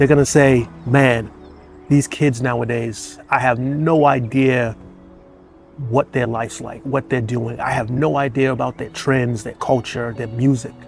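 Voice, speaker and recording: Over background music, a man with a medium-pitched voice speaks at a fairly slow pace. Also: ordinary pitch variation. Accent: American. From Boston. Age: 50s. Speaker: retired firefighter. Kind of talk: casual talk to camera. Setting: outdoors.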